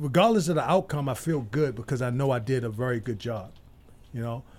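A man with an American accent talks at a fairly quick pace in a medium pitch. His voice is somewhat breathy, with lively intonation. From Baltimore, US. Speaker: election candidate. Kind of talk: casual chat.

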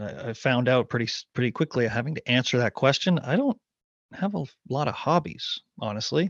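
A man speaks in a normal speaking voice with a Canadian accent, his pitch fairly high and his intonation lively. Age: 40s. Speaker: former professional golfer. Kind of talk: casual chat.

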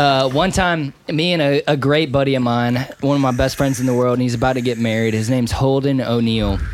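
With an American accent, a man speaks at a fairly quick pace and medium pitch, hardly pausing, his loudness very even and intonation fairly even, with audible room echo. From North Carolina. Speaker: recording engineer. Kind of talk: casual chat. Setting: studio.

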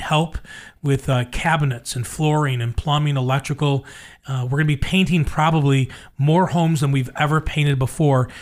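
A man has an ordinary speaking voice, fairly high in pitch, with ordinary pitch variation and a fairly quick pace. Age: 60s. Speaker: radio host. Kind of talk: casual chat.

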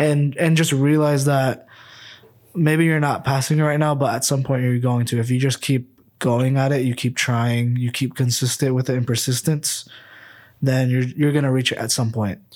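In a very clean recording with a silent background, a man with an American accent has an unremarkable speaking voice, fairly even intonation and very even loudness. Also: medium pitch for a man, moderate pace. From US Midwest, Ankeny, Iowa. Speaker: podcast co-host, real estate agent. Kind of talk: casual chat.

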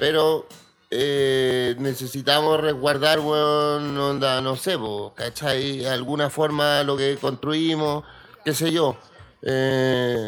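At a very slow pace, a man with a Chilean accent and a fairly high pitch speaks in a monotone, flat intonation. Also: very even loudness. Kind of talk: casual chat.

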